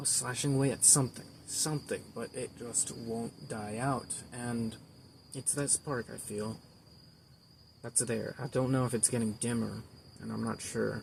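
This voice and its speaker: A man with a medium-pitched, somewhat breathy voice talks at a moderate pace, leaving long, frequent pauses. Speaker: amateur artist vlogger. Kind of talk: casual vlog monologue. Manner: halting, rambling with repeats.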